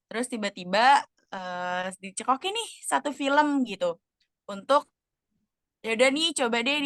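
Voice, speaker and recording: A woman speaks with lively intonation at a fairly high pitch. Her moderate pace comes through in a dry, close sound with no echo. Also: big swings in loudness. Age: 20s. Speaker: role-play counseling client, student. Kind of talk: role-play counseling session. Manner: casual, hesitant with fillers.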